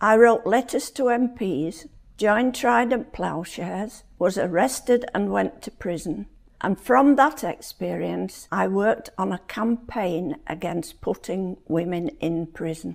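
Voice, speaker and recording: This woman talks at a fairly slow pace with vocal fry. Her pitch is medium and her intonation is lively. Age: 80s+. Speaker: domestic violence survivor. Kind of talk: scripted narration.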